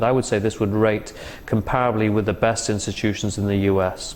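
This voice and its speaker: In an English accent, a man talks at a fairly quick pace in a fairly low pitch, with audible room echo. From England. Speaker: interventional cardiologist. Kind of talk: interview. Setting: medical conference. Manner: hesitant, many fillers.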